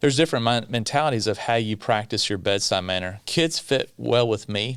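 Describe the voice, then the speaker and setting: With a Kentucky accent, a man speaks very fast at a medium pitch. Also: very clean recording, silent background. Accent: Kentucky Southern US. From US South, South Central Kentucky (Bowling Green). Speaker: pediatrician. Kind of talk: podcast interview.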